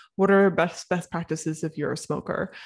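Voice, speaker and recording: Against a quiet background, a woman talks at a fairly quick pace with a fairly low pitch and fairly even intonation. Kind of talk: educational podcast talk. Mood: earnest, serious. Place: home room. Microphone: studio mic.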